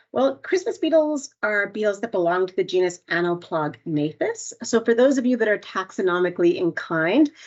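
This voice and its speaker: A woman's fairly high voice with a Canadian accent, very wide pitch swings and a fairly quick pace. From Canada. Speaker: entomologist. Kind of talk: webinar presentation.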